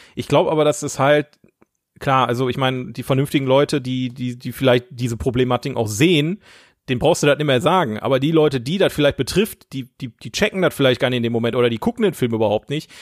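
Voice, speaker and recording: Talking very fast, a man holds a medium pitch. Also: ordinary pitch variation. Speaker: podcast co-host. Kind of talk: casual chat.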